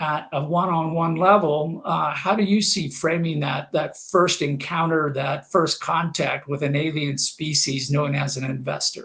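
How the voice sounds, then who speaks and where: Fairly slow and fairly even in intonation, a man with a Kansas accent speaks at a fairly high pitch. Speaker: talk show host on funding. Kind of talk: live-streamed interview show. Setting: LinkedIn live stream. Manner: hesitant, many fillers and repeats.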